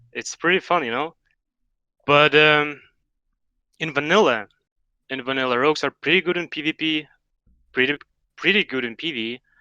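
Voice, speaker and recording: A man with a fairly high pitch and a bright, sharp tone speaks at a moderate pace, with ordinary pitch variation and long, frequent pauses. The sound is dry and close with no echo, over a quiet background. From Russia. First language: Russian. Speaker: expert gamer guest. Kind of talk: casual interview.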